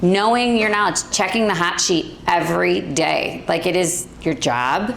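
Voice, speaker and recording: Speaking at a fairly slow pace with lively intonation, a woman with a fairly low pitch keeps her loudness very even, with noticeable background noise and audible room echo. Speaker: real estate agent. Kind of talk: panel discussion.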